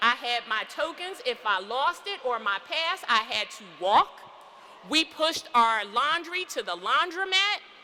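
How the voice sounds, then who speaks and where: Her raised, projected voice swings very widely in pitch at a fairly slow pace, with an animated tone over noticeable background noise. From US Northeast, Philadelphia. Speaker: physician and commencement speaker. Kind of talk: commencement speech. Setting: church.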